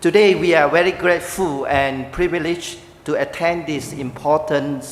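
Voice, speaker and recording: Over noticeable background noise and audible room echo, someone with a Chinese accent talks at a moderate pace with ordinary pitch variation. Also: man. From Malaysia. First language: Mandarin Chinese (speaking Vietnamese). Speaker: pastor. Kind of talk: speech at church ceremony. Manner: pausing for interpreter.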